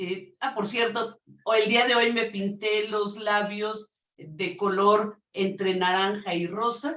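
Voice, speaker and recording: The speaker talks loudly at a very slow pace with fairly even intonation. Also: woman, medium pitch for a woman. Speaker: lawyer and interview host. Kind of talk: interview.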